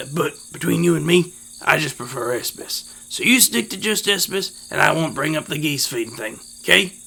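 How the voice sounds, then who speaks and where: A man's raspy, put-on character voice, fairly high in pitch, at a moderate pace with very wide pitch swings. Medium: read story. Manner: drawling, homespun.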